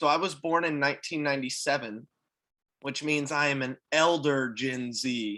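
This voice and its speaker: The tone is bright and sharp as a man with an American accent talks at a moderate pace. His pitch is fairly high, with ordinary pitch variation. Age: 20s. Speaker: youth camp coordinator. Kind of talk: video call introduction.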